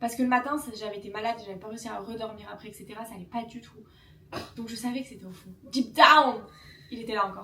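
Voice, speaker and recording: A woman's fairly high voice at a very fast pace, broken by long, frequent pauses, with big swings in loudness. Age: 20s. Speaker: vlogger. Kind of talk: casual chat. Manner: animated.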